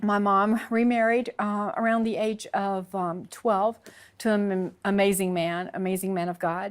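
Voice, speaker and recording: Speaking in a Southern US accent, a woman with a medium pitch talks at a fairly slow pace with fairly even intonation on a very clean recording with a silent background. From US South, Alabama (born Texas). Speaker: convert sharing her story. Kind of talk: interview testimony. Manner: halting, many fillers.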